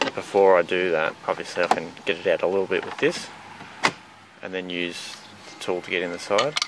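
At a fairly quick pace, a man talks with low pitch and ordinary pitch variation over faint background noise.

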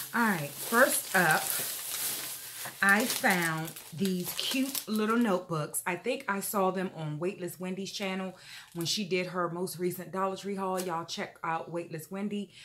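With ordinary pitch variation, a woman talks over noticeable background noise. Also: medium pitch for a woman, fairly slow pace. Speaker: YouTuber. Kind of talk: haul video, casual talk to camera. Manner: animated.

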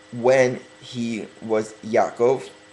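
There is noticeable background noise as a man speaks. His pitch is medium and his pace very slow. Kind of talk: religious sermon, Torah commentary. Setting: webcam. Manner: slow, deliberate.

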